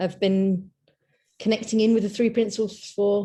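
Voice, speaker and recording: Over a quiet background, a dark, mellow voice with a London accent speaks in a flat monotone. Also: woman. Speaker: workshop participant. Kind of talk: group video call introductions.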